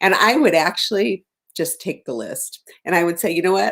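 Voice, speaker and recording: At a moderate pace, a woman talks in a plain, everyday voice with a medium pitch. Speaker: behavior analysis professor. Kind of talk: presentation.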